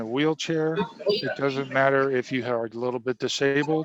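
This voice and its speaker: This man's voice sits at a fairly high pitch and moves at a moderate pace. His pitch varies in an ordinary way, and there is noticeable background noise. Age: 60s. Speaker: navy veteran and nutrition product seller. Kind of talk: interview.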